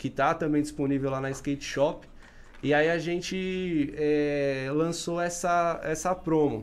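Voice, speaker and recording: Audible room echo surrounds a man who speaks very slowly at a fairly high pitch with ordinary pitch variation. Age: 30s. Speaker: podcast host. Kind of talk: casual chat.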